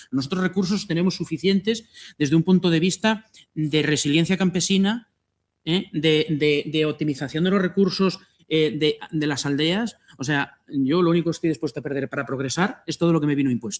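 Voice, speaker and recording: A man with a fairly high pitch speaks at a fairly quick pace, his pitch varying in an ordinary way. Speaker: agroecology project coordinator. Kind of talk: panel talk. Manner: fast.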